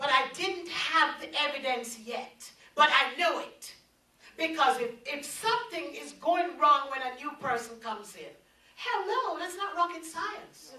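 A woman projects a raised, high-pitched voice in a bright, sharp tone, her loudness swinging widely amid audible room echo. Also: lively intonation, fairly slow pace. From Jamaica. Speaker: preacher. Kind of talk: sermon. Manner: animated. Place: meeting room.

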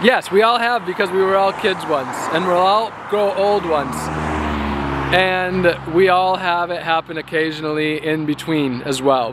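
A man talks at a fairly slow pace. The sound is dry with no echo, and there is noticeable background noise. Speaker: activist and vlogger on a long-distance walk. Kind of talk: casual vlog monologue. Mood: earnest, reflective. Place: street. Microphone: phone near.

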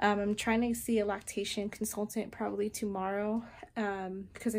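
A woman speaks at a moderate pace in a monotone, her intonation flat. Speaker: new mother vlogger. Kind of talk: casual vlog chat. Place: kitchen. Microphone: phone near.

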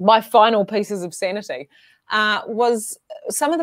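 The voice is a woman's. All is quiet behind her. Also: dry sound with no echo. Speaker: podcast guest or host. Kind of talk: casual interview conversation. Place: home room.

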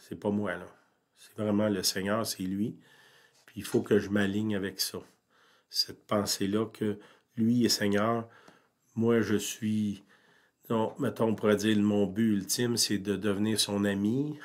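A man speaks in a monotone with flat intonation and fairly low pitch, at a very slow pace. Long, frequent pauses and big swings in loudness mark his delivery. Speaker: pastor. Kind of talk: sermon.

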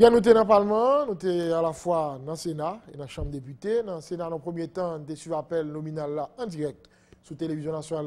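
A man with a high voice speaks at a fairly quick pace, his pitch varying in an ordinary way. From Haiti. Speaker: TV news host. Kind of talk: interview. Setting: studio. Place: studio. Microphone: lapel.

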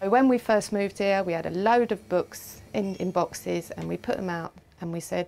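A woman speaks at a fairly low pitch with vocal fry. Her intonation stays fairly even. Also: slightly mellow tone.

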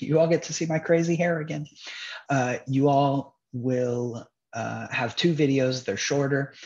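A somewhat breathy man at a fairly slow pace, lively intonation, over a quiet background. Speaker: instructor. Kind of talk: lecture. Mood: upbeat, light-hearted. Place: home room. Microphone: webcam.

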